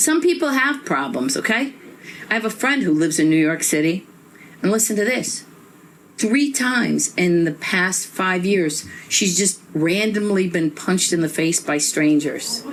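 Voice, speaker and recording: With audible room echo, a woman with an American accent speaks at a medium pitch and moderate pace, her pitch swinging very widely while her loudness stays very even. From Northeast Ohio. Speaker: stand-up comedian. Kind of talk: stand-up. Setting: stage with audience. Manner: animated.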